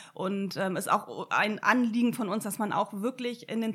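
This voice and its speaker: At a moderate pace, a woman talks in an unremarkable speaking voice of medium pitch. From northern Germany, Sylt. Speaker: environmental initiative organizer. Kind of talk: casual interview.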